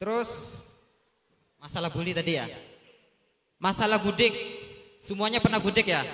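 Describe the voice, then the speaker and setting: A man speaks in a raised, projected voice at a high pitch. His tone is animated. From Sumbawa, West Nusa Tenggara, Indonesia. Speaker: talk show guest, former pesantren student. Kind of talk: talk show addressing students.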